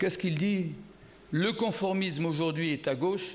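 This is a man talking. His voice carries audible echo from the room. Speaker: philosopher giving a conference talk. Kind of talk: lecture. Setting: stage with audience. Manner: speaking loudly.

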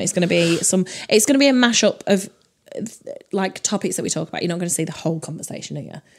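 A woman's medium-pitched, animated voice at a very fast clip, with ordinary rise and fall in pitch. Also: big swings in loudness. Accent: northern English. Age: 30s. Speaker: comedy podcast co-host. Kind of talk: casual chat. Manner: animated, laughs often.

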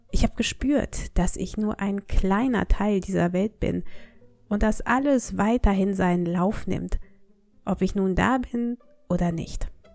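With music in the background, a woman speaks at a very slow pace in a calm tone and medium pitch. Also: ordinary pitch variation. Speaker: language teacher. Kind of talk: storytelling.

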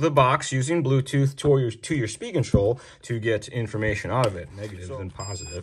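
A man talks at a fairly quick pace with hardly any pauses. His voice is somewhat breathy and swings widely in loudness. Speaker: RC hobby show host. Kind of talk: product demo tutorial. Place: workshop.

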